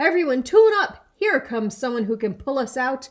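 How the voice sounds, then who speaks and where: Pitched high, the woman's voice is a put-on character voice. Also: moderate pace. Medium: read story. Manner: fretful.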